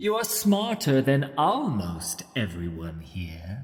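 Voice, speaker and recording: Putting on a character voice, a man with a medium pitch and a calm tone speaks at a very slow pace with very wide pitch swings. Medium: read story. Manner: cold, calm, mocking.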